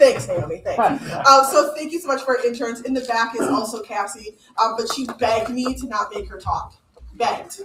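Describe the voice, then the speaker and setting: With a high pitch, lively intonation and an animated tone, a woman speaks in big swings of loudness over noticeable background noise. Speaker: program director, event emcee. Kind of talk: event welcome speech. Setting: event venue with live audience, microphone.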